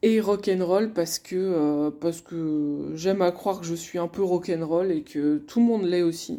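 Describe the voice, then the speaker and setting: On a very clean recording with a silent background, a woman with a fairly low pitch and ordinary pitch variation speaks at a fairly slow pace with hardly any pauses. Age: 30s. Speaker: couples coach and podcast host. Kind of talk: solo podcast monologue. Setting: alone at her desk. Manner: hesitant, many fillers.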